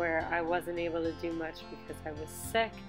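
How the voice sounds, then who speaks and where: Over music in the background, the speech moves at a moderate pace in a monotone, flat intonation. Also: woman. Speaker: bullet journal creator. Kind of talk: casual tutorial voiceover.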